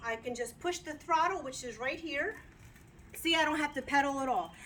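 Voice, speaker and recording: Using a raised, projected voice, a woman speaks at a moderate pace with a high pitch and lively intonation. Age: 60s. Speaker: customer giving a product review. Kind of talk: casual video testimonial. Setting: outdoors. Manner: chatty, with fillers and repeats.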